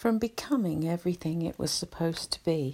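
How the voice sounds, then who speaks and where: Fairly low in pitch, a woman talks at a fairly slow pace with lively intonation in a soothing, dark, mellow tone. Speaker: anxiety relaxation channel host. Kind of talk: soothing spoken explanation with story. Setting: home recording, quiet house. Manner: slow, calming soothing delivery.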